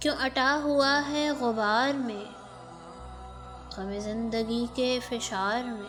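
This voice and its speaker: A woman's fairly high-pitched voice with fairly even intonation, music in the background. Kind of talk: poetry reading.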